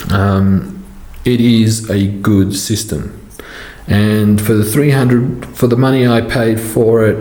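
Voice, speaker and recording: A man with an Australian accent at a very slow pace, his loudness very even, with noticeable background noise and audible room echo. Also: medium pitch for a man, ordinary pitch variation. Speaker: model train hobbyist YouTuber. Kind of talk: tutorial Q&A. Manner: halting, many fillers.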